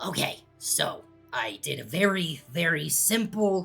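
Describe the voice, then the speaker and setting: A raspy, put-on character voice at a middle pitch speaks at a fairly slow pace. Faint music plays in the background. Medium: actual play. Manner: excitable, rambling, giggly.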